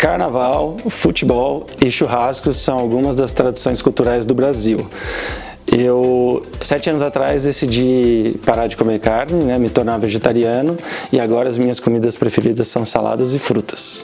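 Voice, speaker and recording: Music plays behind a man speaking at medium pitch with a Portuguese accent. His pace is fairly quick. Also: ordinary pitch variation. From Brazil. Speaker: automation engineer. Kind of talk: interview answers.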